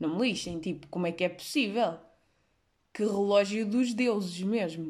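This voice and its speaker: A woman with a European Portuguese accent, medium-pitched and animated in tone, at a moderate pace with ordinary pitch variation. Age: 20s. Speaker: podcaster. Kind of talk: casual monologue.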